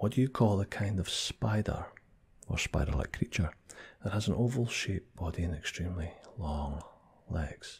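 A soft-spoken man with a Scottish accent talks at a very deep, low pitch. His speech has long, frequent pauses. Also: moderate pace. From Scotland. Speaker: ASMR creator. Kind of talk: ASMR accent tag, casual talk to camera. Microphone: studio mic.

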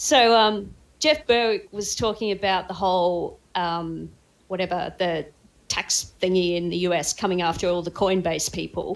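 A woman of medium pitch at a fairly slow pace, in a very clean recording with a silent background. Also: ordinary pitch variation. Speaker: cryptocurrency trader. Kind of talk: casual chat.

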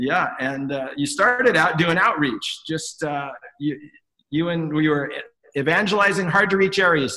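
Over a quiet background, a man talks at a moderate pace with ordinary pitch variation. His voice is high-pitched, with a bright, sharp tone. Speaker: interview host. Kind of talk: interview question. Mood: warm, friendly. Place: home room. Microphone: webcam.

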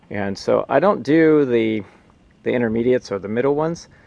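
In a dry recording with no echo, a man speaks at a moderate pace with ordinary pitch variation. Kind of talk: tutorial. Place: open country. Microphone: phone near.

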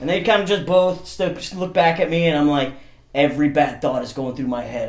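With audible room echo around him, a man talks at a fairly quick pace and with ordinary pitch variation. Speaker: guest. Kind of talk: comedic storytelling in a casual interview. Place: studio.

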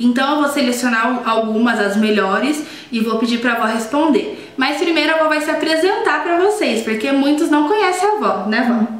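A woman's high-pitched voice with very wide pitch swings, a moderate pace, hardly any pauses and audible room echo. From Brazil. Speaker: YouTuber. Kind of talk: casual chat. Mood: warm, cheerful. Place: kitchen. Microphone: webcam.

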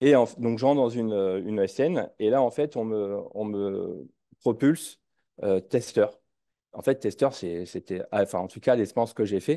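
A man speaks in a dark, mellow tone with ordinary pitch variation against a quiet background. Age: 30s. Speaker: engineer and startup CTO; interview guest. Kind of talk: casual interview conversation. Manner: halting, many hesitations. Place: home room. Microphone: headset.

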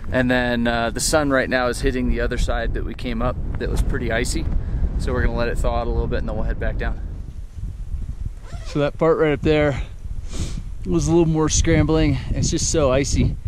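A man with a medium pitch talks at a fairly quick pace, leaving long, frequent pauses. His pitch barely moves, and background noise is clearly audible.

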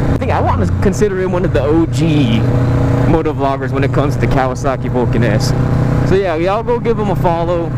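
Very fast speech from a man with an American accent, dry and echo-free, over loud background noise. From San Francisco Bay Area, California. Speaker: motorcycle vlogger. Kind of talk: casual vlog. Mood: relaxed, startled once. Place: motorbike. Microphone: helmet.

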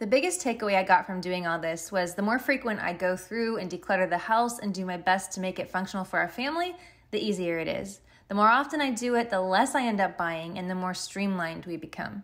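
A woman speaks at a fairly quick pace with few pauses, her pitch medium and her tone fairly bright. Her pitch varies in an ordinary way.

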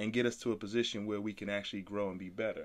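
With a very clean recording and a silent background, a man speaks in an American accent with fairly even intonation. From Brooklyn, New York, later North Carolina. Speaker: podcast host, entrepreneur. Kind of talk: casual chat.

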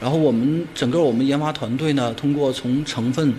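A man's fairly high voice at a moderate pace, fairly even in intonation, over light background noise. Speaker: steel industry researcher. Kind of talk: interview soundbite.

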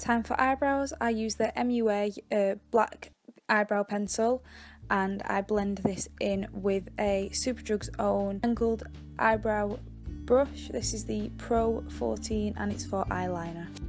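A woman with a British accent speaks at a very slow pace. Faint music plays in the background. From England. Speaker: beauty vlogger. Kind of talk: casual makeup tutorial talk to camera. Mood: relaxed, modest, friendly. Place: home room. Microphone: phone near.

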